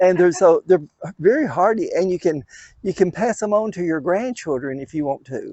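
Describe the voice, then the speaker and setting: With a Southern US accent, a man with a high voice talks at a moderate pace, his intonation lively. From US South, west Tennessee. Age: 70s. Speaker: daylily breeder. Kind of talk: casual chat.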